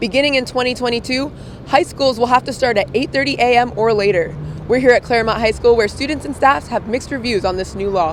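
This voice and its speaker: A woman's high voice at a very fast pace, ordinary pitch variation, noticeable background noise. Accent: American. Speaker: TV news reporter. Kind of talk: TV news reporter standup delivery. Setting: outdoors on location, news segment.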